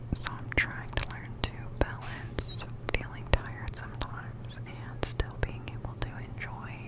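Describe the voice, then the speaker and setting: Whispering against noticeable background noise. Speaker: medical facility worker. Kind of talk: ASMR whisper ramble. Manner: whispered.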